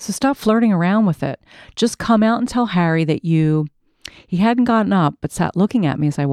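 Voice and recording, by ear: This is reading aloud in a natural voice. The background is quiet.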